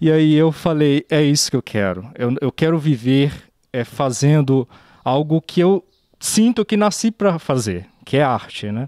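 Against a quiet background, a man with a dark, mellow tone speaks fairly slowly with very wide pitch swings, the sound dry with no echo. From Brazil, Minas Gerais (Pirapora); Minas Gerais, Brazil. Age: 30s. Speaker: sculptor. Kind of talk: interview; interview answer. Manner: halting.

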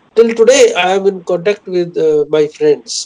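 A man with an Indian accent speaks at a fairly slow pace and a high pitch, in a dark, mellow tone with ordinary pitch variation. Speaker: poet. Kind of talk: interview. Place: office. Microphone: video call.

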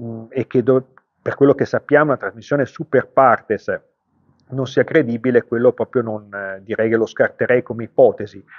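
A man's medium-pitched voice at a moderate pace, with fairly even intonation and big swings in loudness, over a quiet background. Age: 60s. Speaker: car tuning shop owner. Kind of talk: vlog commentary. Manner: halting, many fillers. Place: shop. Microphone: phone near.

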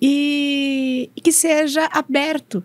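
This woman's voice sounds dry, with no echo. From Brazil, São Paulo state. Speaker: operations manager at a machinery company; speaker. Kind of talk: talk interview at a university congress. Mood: friendly, calm. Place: studio. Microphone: studio mic.

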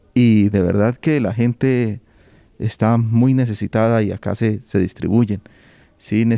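A medium-pitched male voice with a dark, mellow tone and fairly even intonation, dry and close with no echo. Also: fairly slow pace. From Colombia, Onzaga (Santander). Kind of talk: interview.

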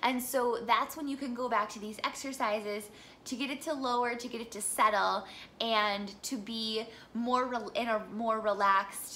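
A woman with an American accent speaks at a moderate pace. Her fairly high voice has a bright, sharp tone over light background noise. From US Midwest. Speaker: singer and voice teacher; voice teacher. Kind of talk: tutorial. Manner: animated. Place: home room.

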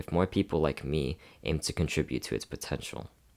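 A man with a very deep, low pitch and vocal fry talks at a fairly quick pace. The recording is very clean with a silent background. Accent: American. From Houston, Texas. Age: 20s. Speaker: dancer and student. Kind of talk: scripted narration.

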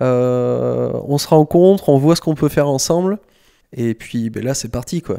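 The voice has a dark, mellow tone, ordinary pitch variation, and a fairly slow pace. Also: man, medium pitch for a man. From France, Bordeaux area (Saint-Médard). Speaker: skateboard coach and skatepark designer. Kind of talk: casual interview. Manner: hesitant, many fillers.

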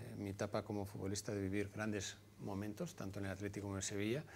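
A very fast man's voice with fairly even intonation over light background noise. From Basque Country, Vitoria; Basque Country. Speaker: former footballer and clinic entrepreneur; interview guest. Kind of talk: TV interview. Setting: TV studio. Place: studio. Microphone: lapel.

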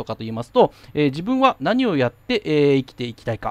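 Speaking at a fairly quick pace, a man has a high pitch. The background is quiet. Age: 40s. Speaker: YouTuber explaining FX markets, financial company employee. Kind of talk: casual solo monologue. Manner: polite, filler-heavy.

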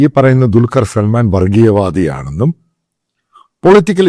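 A man speaks with a fairly low pitch and a dark, mellow tone. His pitch swings very widely. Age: 50s. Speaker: political commentator. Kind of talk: opinion monologue.

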